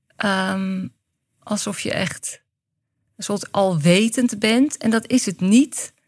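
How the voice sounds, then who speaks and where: A woman's somewhat breathy voice sits at a medium pitch, moving at a very slow pace with ordinary pitch variation. The recording is very clean and the background silent. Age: 50s. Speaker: director of a workshop school. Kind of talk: interview conversation.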